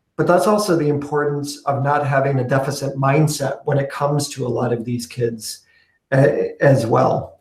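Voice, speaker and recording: A man's fairly high, somewhat breathy voice at a moderate pace, with audible room echo. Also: fairly even intonation. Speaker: education speaker. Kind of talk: webinar discussion.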